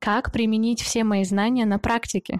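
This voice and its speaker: A woman with a normal speaking voice talks at a moderate pace and a fairly high pitch, in a dry, close sound with no echo on a very clean recording with a silent background. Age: 20s. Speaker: podcast host. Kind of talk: scripted monologue.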